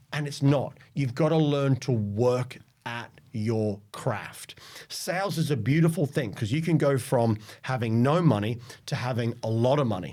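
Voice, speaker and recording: Talking at a moderate pace, a man has a dark, mellow tone, medium pitch and ordinary pitch variation. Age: 40s. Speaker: sales leader. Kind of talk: interview.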